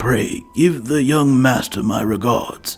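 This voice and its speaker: In a put-on character voice, a man speaks at a fairly slow pace with lively intonation. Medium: game stream. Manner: prim, refined.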